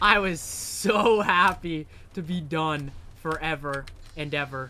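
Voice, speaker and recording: Very slow speech from a man with ordinary pitch variation over noticeable background noise. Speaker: video game streamer. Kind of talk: casual live stream commentary. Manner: animated.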